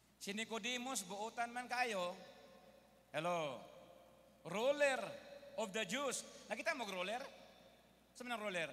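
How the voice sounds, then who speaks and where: At a fairly slow pace broken by long, frequent pauses, a man with a high pitch and a bright, sharp tone speaks in an animated tone with ordinary pitch variation. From Philippines. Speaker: preacher. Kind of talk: sermon. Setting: stage with audience. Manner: animated, call-and-response, keeps asking the congregation for an Amen; switches between Tagalog, English and Cebuano, with humorous asides. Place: hall. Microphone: handheld.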